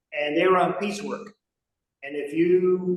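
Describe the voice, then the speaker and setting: A man with an American accent speaks in a high pitch. His pace is moderate. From Rhode Island, US. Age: 70s. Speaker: business executive. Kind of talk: interview.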